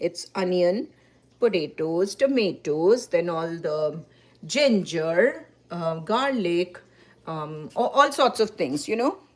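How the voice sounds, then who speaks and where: Speaking with a Bengali accent, a woman uses a medium pitch that swings very widely. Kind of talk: cooking demonstration. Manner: halting.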